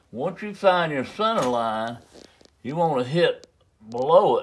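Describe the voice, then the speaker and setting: A man's very slow speech with a Southern US accent and lively intonation, over noticeable background noise. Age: 70s. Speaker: flintknapping craftsman. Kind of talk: tutorial. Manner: casual, folksy.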